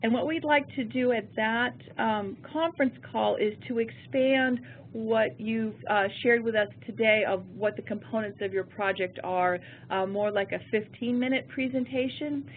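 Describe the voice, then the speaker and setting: A woman's fairly high pitch with ordinary pitch variation. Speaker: federal program branch chief. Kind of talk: webinar presentation. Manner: fast.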